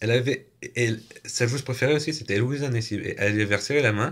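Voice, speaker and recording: A man speaks at a fairly quick pace with ordinary pitch variation and a somewhat breathy sound. The background is quiet. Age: 20s. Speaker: youtuber; vlogger. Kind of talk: casual vlog monologue. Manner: halting, with repetitions. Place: home room. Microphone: phone near.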